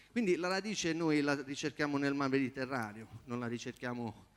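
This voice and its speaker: An ordinary speaking voice from a man at medium pitch, with ordinary pitch variation and a moderate pace. The recording is very clean with a silent background. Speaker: competing singer-songwriter. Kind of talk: audience Q&A after performance. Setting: theatre stage with audience.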